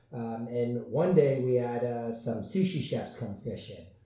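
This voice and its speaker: Over noticeable background noise, a man with an American accent talks at a fairly slow pace in a medium pitch. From US West Coast, San Diego. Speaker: restaurant owner. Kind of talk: interview.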